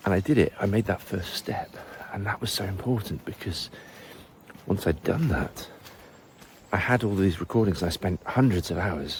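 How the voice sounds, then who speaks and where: With a fairly low pitch and ordinary pitch variation, a man speaks at a moderate pace, leaving long, frequent pauses amid noticeable background noise. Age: 40s. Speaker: language teacher. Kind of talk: casual vlog monologue.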